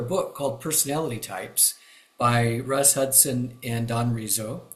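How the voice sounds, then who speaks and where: A man speaks with a US Midwestern accent. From Kansas, US Midwest. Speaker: retired pastor and enneagram teacher. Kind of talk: interview. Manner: halting, many fillers.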